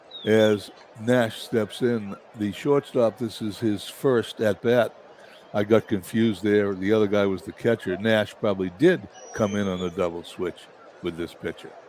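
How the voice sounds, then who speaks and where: A man with a somewhat deep voice speaks at an average speed, his pitch moving in a normal way, while clearly audible noise runs in the background. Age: 70s. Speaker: simulated baseball play-by-play broadcaster. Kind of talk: live commentary; casual chat.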